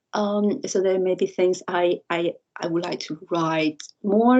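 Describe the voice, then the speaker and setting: The speaker is a woman. She talks with a Chinese accent. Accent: Mandarin Chinese accent in English. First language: Mandarin. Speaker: university lecturer and researcher. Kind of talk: interview conversation. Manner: halting, repeats words.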